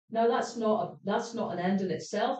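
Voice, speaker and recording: This woman talks in a Scottish accent, her pitch fairly high. Her tone is animated and her pace moderate. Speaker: panel speaker. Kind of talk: panel discussion. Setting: stage with audience.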